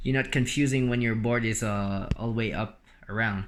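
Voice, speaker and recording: A man talks at a moderate pace with a non-native accent. His pitch sits in the middle range. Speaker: DIY electric skateboard builder. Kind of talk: tutorial. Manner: halting, many fillers.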